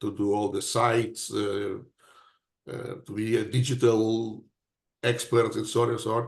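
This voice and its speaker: Against a quiet background, a man speaks at a very slow pace. His fairly low voice stays monotone and flat. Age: 70s. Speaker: inventor and scientist presenting a product. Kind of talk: webinar Q&A presentation. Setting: online webinar. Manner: halting, with many repetitions and fillers.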